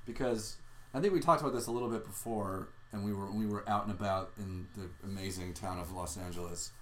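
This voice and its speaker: With an American accent, a man talks very fast at a fairly low pitch with ordinary pitch variation, and there is audible room echo. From Southern California (Orange County). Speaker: podcast host, improv comedian. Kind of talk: casual chat.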